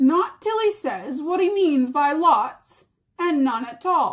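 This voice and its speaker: Using a put-on character voice, a woman speaks at a fairly slow pace. The pitch is high. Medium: read story. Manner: coarse, rough.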